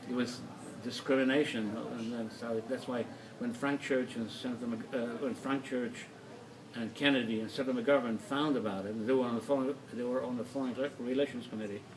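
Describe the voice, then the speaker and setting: Over noticeable background noise, a man at a medium pitch speaks at a fairly quick pace with monotone, flat intonation. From Soviet Union, Kazakhstan. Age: 60s. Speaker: artist. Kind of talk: casual chat. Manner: halting.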